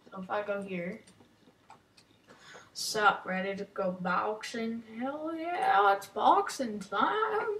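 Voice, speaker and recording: At a very slow pace with long, frequent pauses, a woman speaks at a fairly high pitch, her intonation lively and her loudness swinging widely. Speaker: gaming youtuber. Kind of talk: gameplay commentary.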